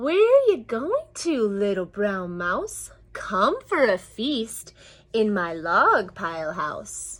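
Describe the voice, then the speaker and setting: A woman puts on a character voice at a medium pitch and a very slow pace. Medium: read story.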